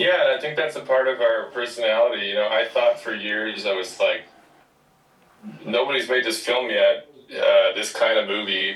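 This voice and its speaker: Noticeable background noise sits behind a man's speech. He talks at a moderate pace with a Midwestern accent. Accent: Midwest, noticeable on some words. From Wisconsin, small town. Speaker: film director and writer. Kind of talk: interview.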